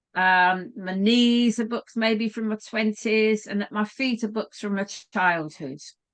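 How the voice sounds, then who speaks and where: Fairly high-pitched, a woman speaks at a fairly slow pace with hardly any pauses and ordinary pitch variation in an unremarkable speaking voice. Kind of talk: online training talk.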